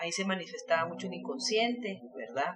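Her intonation lively, a woman speaks at medium pitch. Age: 40s. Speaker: filmmaker. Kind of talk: interview.

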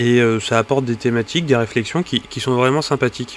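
Ordinary pitch variation carries over noticeable background noise. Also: man. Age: 30s. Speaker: podcaster, wargaming hobbyist. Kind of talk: solo podcast monologue. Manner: halting, many fillers and repetitions.

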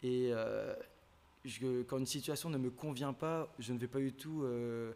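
Very slowly and at a medium pitch, a man speaks with fairly even intonation. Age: 20s. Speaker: business student. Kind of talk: casual chat.

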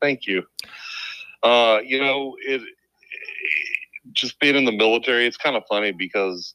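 In a Southern US accent, a man with a medium pitch and a bright, sharp tone speaks at a moderate pace with ordinary pitch variation and long, frequent pauses, the sound dry and close with no echo. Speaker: police officer and military veteran. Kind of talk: podcast interview.

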